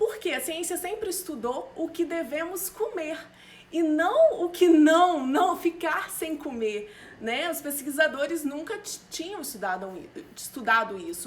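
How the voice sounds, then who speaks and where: A woman speaks at a fairly slow pace in an extremely high voice, with very wide pitch swings and big swings in loudness. Noticeable background noise is present. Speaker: nutritionist. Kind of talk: live stream talk. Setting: live stream.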